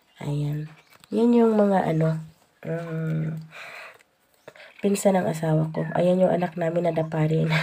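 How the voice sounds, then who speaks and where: A woman talks at a fairly slow pace with long, frequent pauses. The room echo is audible. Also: fairly low pitch for a woman, fairly even intonation. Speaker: vlogger. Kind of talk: casual vlog narration. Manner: halting, many fillers.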